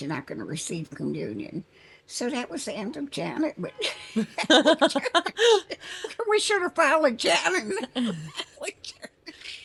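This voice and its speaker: Noticeable background noise is present throughout. Through it, a woman keeps a moderate pace. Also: big swings in loudness. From New Orleans. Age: 80s+. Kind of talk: interview answer. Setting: outdoors.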